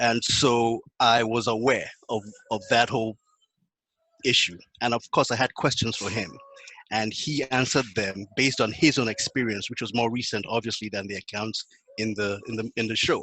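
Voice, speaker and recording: A man with a Nigerian accent speaks with fairly even intonation, the sound dry and close with no echo. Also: medium pitch for a man, moderate pace. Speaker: panelist. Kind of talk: panel discussion.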